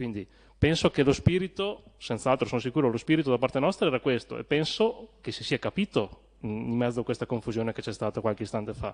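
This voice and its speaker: A man speaks at a medium pitch in an unremarkable speaking voice, with lively intonation at a fairly quick pace. The sound is dry and close with no echo, over a quiet background. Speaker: town councillor. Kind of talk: council debate speech.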